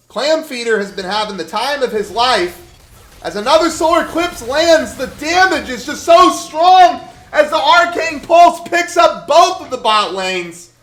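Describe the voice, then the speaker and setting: Swinging very widely in pitch, a man speaks at a moderate pace. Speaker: esports shoutcaster. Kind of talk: live esports play-by-play commentary. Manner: occasional stuttering.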